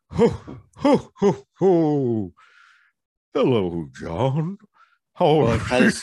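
A man puts on a character voice, fairly high-pitched, with very wide pitch swings. He goes at a very slow pace, with long, frequent pauses. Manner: jolly.

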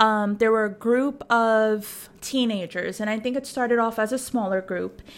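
An unremarkable speaking voice from a woman, moderate in pace, with fairly even intonation. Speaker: podcast co-host. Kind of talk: casual chat.

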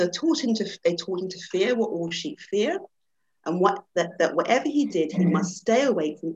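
The reading aloud is plain, with lively intonation. Behind it, all is quiet.

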